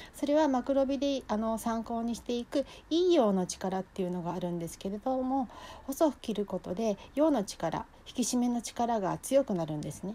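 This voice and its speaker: Her fairly high voice has a dark, mellow tone and lively intonation as the woman speaks at a moderate pace. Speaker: cooking class instructor. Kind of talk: solo talk to viewers. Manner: polite, formal.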